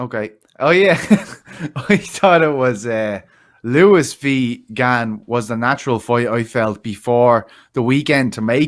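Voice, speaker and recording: A man with an Irish accent at a fairly slow pace, with ordinary pitch variation and long, frequent pauses, on a very clean recording with a silent background. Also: medium pitch for a man. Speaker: MMA podcast co-host. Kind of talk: casual chat.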